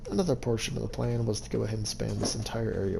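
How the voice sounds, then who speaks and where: There is audible room echo as a man speaks at a very fast pace. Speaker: gaming youtuber. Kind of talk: game walkthrough narration. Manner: halting.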